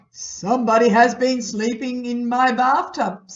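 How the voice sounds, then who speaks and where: A put-on character voice that sounds female, fairly high in pitch, moves at a moderate pace. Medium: read story.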